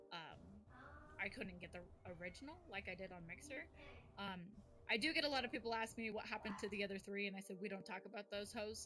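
Against noticeable background noise, a woman talks very fast at a medium pitch with ordinary pitch variation. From US West Coast. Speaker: streamer and content creator. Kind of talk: casual chat.

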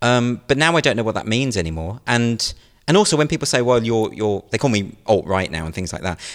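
Speaking at a fairly quick pace with a British accent, a man at a medium pitch uses lively intonation in a very clean recording with a silent background. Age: 40s. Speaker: comedian and satirical writer. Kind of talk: interview.

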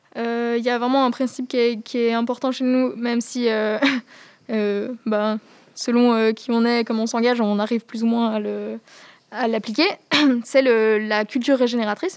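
A woman speaks at a moderate pace with a fairly high pitch and monotone, flat intonation. Her long, frequent pauses sit over music in the background. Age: 20s. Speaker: climate activist. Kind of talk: interview. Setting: rooftop outdoors. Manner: halting.

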